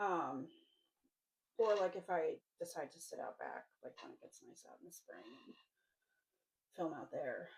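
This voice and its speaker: Speaking at a moderate pace, a woman leaves long, frequent pauses, and her loudness swings widely. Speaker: crafting vlogger. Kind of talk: casual chat. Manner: not a loud talker. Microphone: poor microphone, hard to hear.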